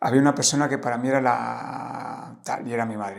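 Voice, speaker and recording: A man with a medium pitch and vocal fry. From Spain, Valladolid. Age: 50s. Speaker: life coach and traveler. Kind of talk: casual interview conversation. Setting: in-person podcast conversation. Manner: hesitant, many fillers.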